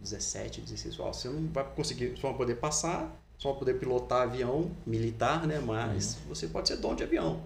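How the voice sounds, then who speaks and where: There is noticeable background noise and audible echo from the room. The speech runs on with hardly any pauses. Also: man, moderate pace. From Brazil, Resende, Rio de Janeiro state. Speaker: fitness footwear company founder. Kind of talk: casual interview. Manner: hesitant, many repetitions.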